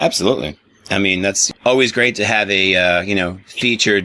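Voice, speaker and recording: Fairly quick in pace, a man has a plain, everyday voice with a fairly low pitch and ordinary pitch variation. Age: 40s. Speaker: radio host. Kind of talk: interview; radio show link.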